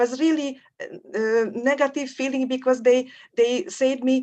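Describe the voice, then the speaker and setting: Over a quiet background, a woman with a Hungarian accent speaks in a high pitch at a fairly slow pace. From Hungary. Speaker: academic researcher. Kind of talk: forum discussion comment. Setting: video call. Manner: halting.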